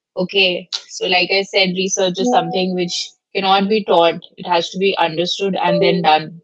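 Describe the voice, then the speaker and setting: This woman's voice sits at a medium pitch, moving at a moderate pace with a flat, monotone delivery. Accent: Indian. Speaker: law professor. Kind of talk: lecture. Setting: video call. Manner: loud.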